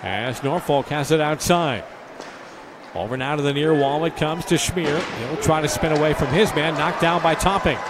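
A man's fairly high voice keeps a moderate pace while noticeable noise sounds in the background. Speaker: hockey play-by-play announcer. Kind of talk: live hockey commentary. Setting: arena broadcast of a game.

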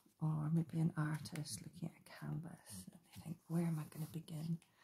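The speaker is soft-spoken and talks at a moderate pace. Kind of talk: casual craft chat. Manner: soft, hushed ASMR talking. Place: home room.

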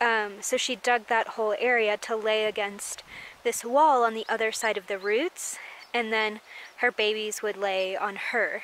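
At a fairly slow pace, a woman talks at medium pitch with a fairly bright tone and fairly even intonation.

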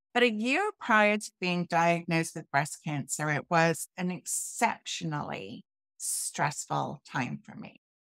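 With a British accent, a woman speaks with lively intonation and big swings in loudness, in a dry sound with no echo against a quiet background. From UK. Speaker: health and transformational coach. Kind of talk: interview, personal testimony. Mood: earnest, personal storytelling. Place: home room.

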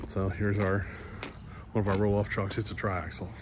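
Noticeable background noise sits under a dry sound with no echo as a man with a fairly low voice speaks at a moderate pace. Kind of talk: casual vlog chat. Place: street. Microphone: phone near.

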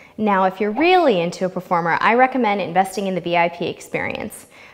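A woman speaks fairly quickly with lively intonation. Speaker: travel vlog host. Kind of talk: scripted travel review. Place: studio. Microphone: lapel.

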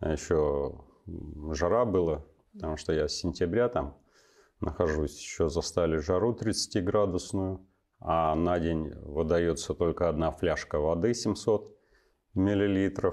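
A man's very deep, low voice at a very slow pace, with ordinary pitch variation, very even loudness, long, frequent pauses and a quiet background. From western Russia, Smolensk region; Russia. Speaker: army officer and university lecturer; guest. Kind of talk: interview. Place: studio.

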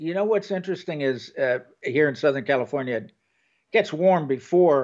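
The background is quiet as a man speaks at a moderate pace. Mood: relaxed, joking. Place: home room.

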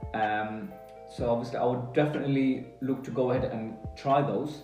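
Ordinary pitch variation comes through against audible room echo, with faint music in the background. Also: man. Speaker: food reviewer. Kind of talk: casual vlog chat.

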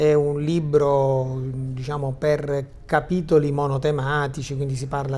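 The voice is somewhat breathy, moving at a fairly slow pace. Its intonation is monotone and flat. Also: man. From Sicily. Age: 50s. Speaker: high school teacher and journalist; teacher, guest. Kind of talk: TV talk show discussion. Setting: studio. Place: studio. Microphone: lapel.

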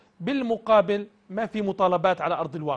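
A man speaks with ordinary pitch variation. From Jordan. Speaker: TV talk show host. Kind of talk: live call-in talk show. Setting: studio. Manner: animated. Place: studio.

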